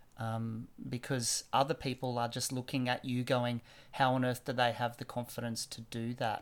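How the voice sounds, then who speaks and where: The speaker has an Australian accent and a monotone, flat intonation at a moderate pace, on a very clean recording with a silent background. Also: man, medium pitch for a man. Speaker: teacher. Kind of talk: casual chat. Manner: halting, many fillers.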